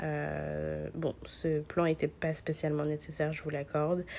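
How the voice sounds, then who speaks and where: A woman with a dark, mellow tone talks at a very slow pace. The recording is very clean, with a silent background. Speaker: vlogger, business lawyer. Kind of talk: casual vlog narration with sponsored pitch. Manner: hesitant, many fillers.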